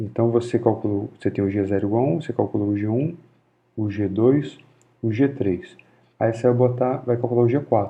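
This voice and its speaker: A man with a slight Carioca accent speaks at a moderate pace in a medium-pitched voice, with ordinary pitch variation. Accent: mild Rio de Janeiro (carioca). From Rio de Janeiro, Brazil. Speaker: physics lecturer. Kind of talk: informal university lecture.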